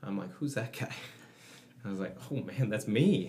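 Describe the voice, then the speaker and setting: A man with a Canadian accent speaks at a moderate pace in a normal speaking voice, his pitch fairly low. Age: 30s. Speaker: gym owner and fitness coach. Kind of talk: casual interview chat. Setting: studio.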